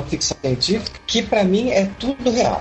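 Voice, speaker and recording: While a man talks, background noise can be noticed behind him. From Minas Gerais, Brazil (Caratinga). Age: 30s. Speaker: fantasy author. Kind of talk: casual interview.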